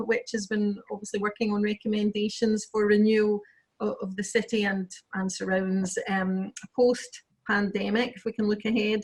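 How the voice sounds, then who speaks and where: In a west of Scotland accent, a woman speaks at a moderate pace with a fairly high, somewhat breathy voice. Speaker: planning lawyer. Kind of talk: webinar interview.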